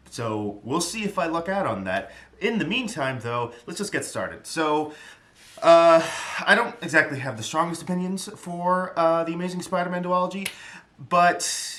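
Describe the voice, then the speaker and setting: Lively intonation marks this moderately paced speaker with an American accent, heard with audible room echo and noticeable background noise. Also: man, high pitch for a man. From New York area (part of upbringing in the Bronx). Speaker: YouTuber, film commentator. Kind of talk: casual solo film review. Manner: rambling, hesitant with many fillers.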